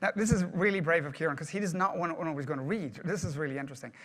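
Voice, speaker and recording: A man's high-pitched voice with a bright, sharp tone and an Irish accent. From Ireland. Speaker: project management speaker. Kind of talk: presentation to live audience.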